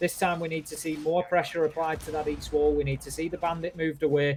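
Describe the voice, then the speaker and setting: With noticeable background noise behind them, the speaker talks at a fairly quick pace in a northern English accent. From northern England. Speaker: esports caster. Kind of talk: live commentary. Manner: animated.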